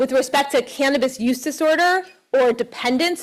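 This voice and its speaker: Loud and high-pitched, a woman speaks at a moderate pace with ordinary pitch variation. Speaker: professor and cannabis researcher. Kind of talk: lecture.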